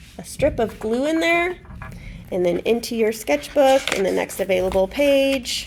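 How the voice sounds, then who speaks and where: At a fairly slow pace, a woman with a fairly high pitch speaks in a normal speaking voice. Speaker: art teacher. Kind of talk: tutorial. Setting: recorded lesson for students while teacher is absent.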